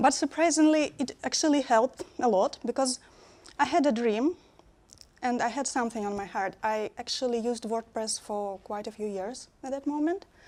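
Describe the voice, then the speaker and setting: A woman speaks with a Russian accent at a high pitch. Her pace is moderate. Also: ordinary pitch variation. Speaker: conference speaker, web developer. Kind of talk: conference talk. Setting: stage with audience. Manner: halting.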